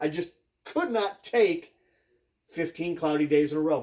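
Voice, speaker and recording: With an American accent, this man has a fairly high pitch and a dark, mellow tone. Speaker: off-grid solar hobbyist YouTuber. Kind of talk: casual tutorial. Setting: garage. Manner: hesitant, many fillers.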